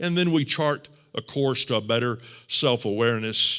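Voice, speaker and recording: In a very clean recording with a silent background, a man with an American accent speaks fairly slowly at a medium pitch, with a bright, sharp tone and ordinary pitch variation. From Texas. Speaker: guest preacher and teacher. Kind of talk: sermon. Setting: church.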